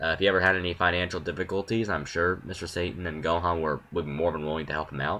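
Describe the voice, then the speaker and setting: A man's very deep, low voice with a bright, sharp tone at a very fast pace. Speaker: YouTuber. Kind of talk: opinion monologue. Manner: halting, many pauses.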